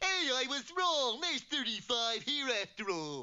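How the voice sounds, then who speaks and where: A cartoonish character voice pitched high. It moves at a moderate pace. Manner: slow, goofy.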